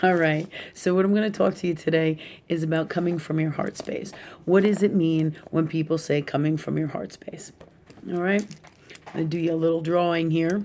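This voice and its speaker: Her voice fairly low and dark and mellow in tone, a woman speaks at a fairly quick pace with fairly even intonation. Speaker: spiritual teacher. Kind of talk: casual talk with drawing. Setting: at home, live video. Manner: speaking low.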